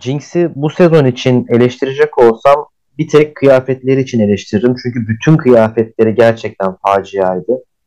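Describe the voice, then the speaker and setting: Hardly any pauses break this man's speech, which shows ordinary pitch variation. His tone is dark and mellow. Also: medium pitch for a man, moderate pace. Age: 30s. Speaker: podcast guest, show fan and company employee. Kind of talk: casual chat.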